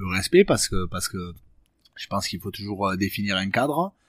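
Fairly low in pitch, a man speaks at a fairly quick pace with ordinary pitch variation. The recording is very clean with a silent background and a dry, close sound with no echo. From French Basque Country (Bayonne area). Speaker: professional rugby player. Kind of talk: casual interview chat. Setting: rugby club training centre. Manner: halting, many hesitations.

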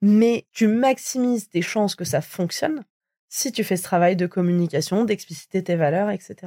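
On a very clean recording with a silent background, a woman speaks at a fairly quick pace and medium pitch, her dark, mellow tone heard in a dry, close sound with no echo. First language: not French (speaking French). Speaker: podcast host, diversity consultant. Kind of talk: interview conversation.

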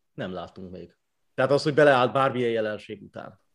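A man speaks at a moderate pace. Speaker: sports journalist. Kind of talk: casual chat.

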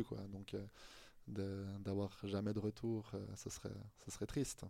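This male voice sits fairly low in pitch. It has a dark, mellow tone. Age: 30s. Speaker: sports journalist. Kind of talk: casual chat. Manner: halting.

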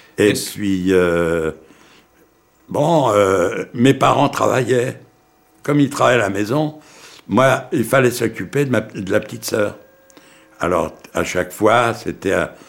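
Speaking at a very slow pace, a man uses medium pitch and lively intonation. Long, frequent pauses break up his speech. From Poland, raised in Paris from age 9. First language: Yiddish (speaking French). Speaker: Holocaust survivor. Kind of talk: testimony. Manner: halting, hesitant.

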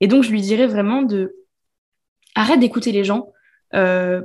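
A woman with a fairly high pitch talks at a moderate pace, somewhat breathy, with ordinary pitch variation. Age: 20s. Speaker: business coach. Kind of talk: casual chat.

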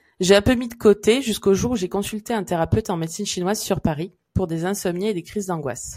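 A woman's plain, everyday voice, medium in pitch, with ordinary pitch variation and a fairly quick pace. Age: 30s. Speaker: podcast host, Chinese medicine therapist. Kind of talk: casual chat; scripted intro. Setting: around hot drinks.

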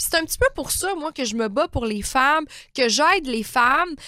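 In a Quebec accent, a woman uses a raised, projected voice at high pitch, with a bright, sharp, animated tone and lively intonation, recorded with a dry, close sound with no echo. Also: very clean recording, silent background. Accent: Québécois French. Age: 30s. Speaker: naturopath and life coach podcaster. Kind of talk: motivational monologue.

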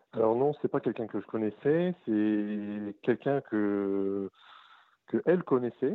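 Speaking at a very slow pace, a man keeps a fairly low pitch with ordinary pitch variation. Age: 30s. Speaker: caller. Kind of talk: phone consultation. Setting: phone call.

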